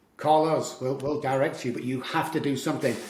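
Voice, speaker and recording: The talking goes at a fairly quick pace. Noticeable background noise and audible room echo fill the recording. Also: man. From Manchester, northern England. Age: 60s. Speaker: addiction recovery coach. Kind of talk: podcast interview. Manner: animated.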